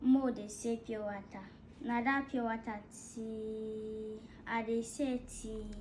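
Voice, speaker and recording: A woman's fairly high, somewhat breathy voice, very slow and monotone with flat intonation, with audible room echo. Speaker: dancer. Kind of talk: casual chat.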